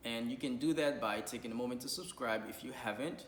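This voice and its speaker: This man's fairly quick speech comes with audible room echo and noticeable background noise. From Haiti. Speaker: YouTuber and nonprofit co-founder. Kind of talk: vlog appeal to viewers. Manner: fast.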